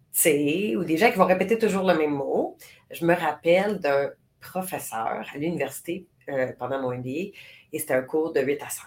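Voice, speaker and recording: A woman speaks at a fairly slow pace in a very deep, low voice, her loudness swinging widely and her intonation lively. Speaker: podcast co-host. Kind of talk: casual chat. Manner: voice carries when passionate.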